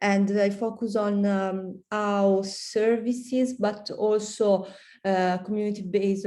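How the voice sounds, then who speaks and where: A woman's dark, mellow voice in an Italian accent, very slow and monotone, with audible room echo. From Italy. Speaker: PhD student. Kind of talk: self-introduction. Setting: video call. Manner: halting.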